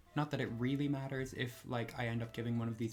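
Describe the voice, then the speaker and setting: Over music in the background, a soft-spoken man talks at a very fast pace, with a medium pitch and fairly even intonation. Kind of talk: casual talk to camera. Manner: low energy.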